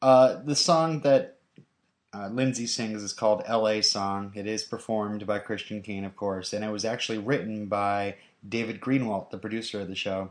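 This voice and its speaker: Over a quiet background, a man with an unremarkable speaking voice talks at a moderate pace, his fairly low pitch carrying fairly even intonation. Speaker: show contributor. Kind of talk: voicemail message. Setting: phone voicemail.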